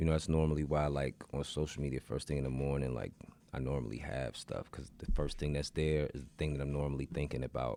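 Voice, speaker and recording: Speaking very fast, a man with an American accent has a dark, mellow tone. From Northern Virginia / DC area. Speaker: rapper. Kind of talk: casual chat.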